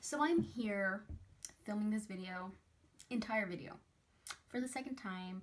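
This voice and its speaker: A woman speaks at a fairly high pitch with ordinary pitch variation and a somewhat breathy quality. Her speech has long, frequent pauses. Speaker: beauty youtuber. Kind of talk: product review. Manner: fast.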